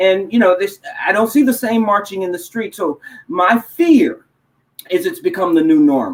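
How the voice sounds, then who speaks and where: A man with a high pitch, very wide pitch swings, a slight Texas accent and a moderate pace. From Texas, Houston area. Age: 50s. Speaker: motivational speaker and educator. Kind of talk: interview. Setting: live online talk show.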